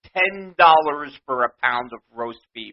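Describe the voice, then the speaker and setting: A man speaks with a New York accent. His pace is very slow. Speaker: podcast host. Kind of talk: rant. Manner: animated.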